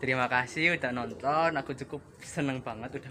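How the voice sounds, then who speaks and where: There is noticeable background noise as a man talks at a medium pitch with fairly even intonation. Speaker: vlogger. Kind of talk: casual vlog narration. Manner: halting.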